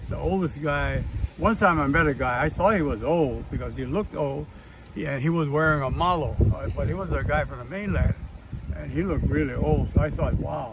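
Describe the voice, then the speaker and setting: In a Hawaiian accent, a man talks at a fairly quick pace amid noticeable background noise and audible room echo. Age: 80s+. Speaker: martial arts grandmaster and war veteran. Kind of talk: personal storytelling monologue. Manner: halting, many fillers.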